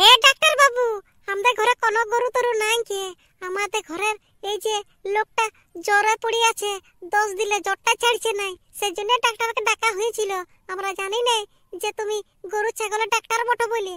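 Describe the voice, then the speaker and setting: Using a cartoonish character voice at an extremely high pitch, a woman speaks at a moderate pace with fairly even intonation. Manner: sharp, scolding.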